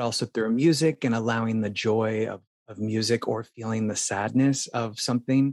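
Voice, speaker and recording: Here is a man with a normal speaking voice and an American accent, at a medium pitch. He keeps a moderate pace and fairly even intonation in a dry, close sound with no echo. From Phoenix, Arizona. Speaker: dancer and performer. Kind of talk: interview.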